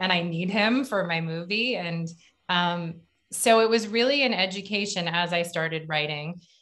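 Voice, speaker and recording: A woman's voice, neither fast nor slow, over near-silence. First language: English (hearing person). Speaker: film director and writer. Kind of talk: panel Q&A interview. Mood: warm, reflective. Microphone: video call.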